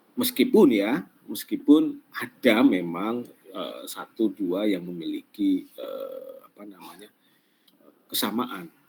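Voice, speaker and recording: A man talks at a very slow pace. His loudness swings widely. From Central Java, Pemalang. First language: Javanese (Banyumasan dialect) (speaking Indonesian). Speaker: lecturer. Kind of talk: online class lecture. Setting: online class. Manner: halting, many fillers.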